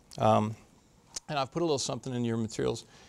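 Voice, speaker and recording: In an American accent, a man speaks at medium pitch with ordinary pitch variation. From US Midwest, Chicago. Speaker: lawyer. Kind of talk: public talk.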